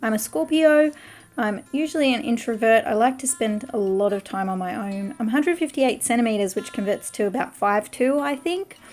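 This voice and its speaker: In an Australian accent, a woman talks at a fairly quick pace with a fairly high pitch and lively intonation. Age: 30s. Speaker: artist and craft youtuber. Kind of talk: casual vlog talk while drawing.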